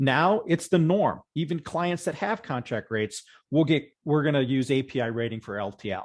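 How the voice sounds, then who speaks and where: Against a quiet background, a man speaks in a fairly high voice for a man. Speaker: software vendor presenter. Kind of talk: webinar presentation. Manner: fast; halting.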